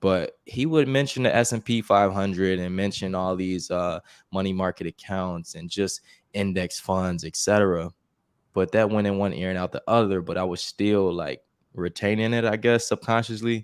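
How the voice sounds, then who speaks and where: In a normal speaking voice, a man with an American accent and a fairly low pitch talks with ordinary pitch variation, the sound dry and close with no echo on a very clean recording with a silent background. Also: moderate pace. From Chicago, US. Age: 30s. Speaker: investing YouTuber. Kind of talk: casual interview.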